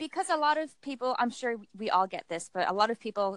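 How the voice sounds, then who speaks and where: A woman speaks at a fairly quick pace in a normal speaking voice, the sound dry and close with no echo. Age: 30s. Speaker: self-published author. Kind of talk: casual chat.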